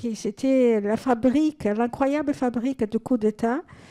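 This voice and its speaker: A woman's high-pitched voice with a dark, mellow tone moves at a fairly slow pace with fairly even intonation, the sound dry and close with no echo. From Brazil. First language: Portuguese (speaking French). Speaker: audience member. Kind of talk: audience question. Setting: cinema hall with audience.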